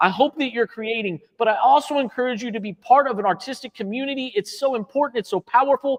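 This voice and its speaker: A man's extremely high voice, very fast and animated, excited in tone, with ordinary pitch variation, hardly any pauses and a dry, close sound without echo. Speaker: art instructor and co-founder. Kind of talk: live stream chat. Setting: art studio live stream. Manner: loud.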